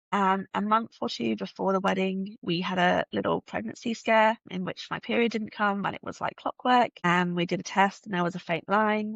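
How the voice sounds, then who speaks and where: With a slight British accent, a woman talks at a medium pitch. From UK. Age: 30s. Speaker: podcast guest sharing fertility journey. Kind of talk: personal testimony in interview.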